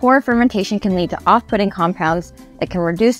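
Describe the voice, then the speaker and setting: Faint music sits behind a woman talking at a moderate pace. Her pitch varies in an ordinary way, and the sound is dry with no echo. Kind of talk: educational explainer. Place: open country. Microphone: lapel.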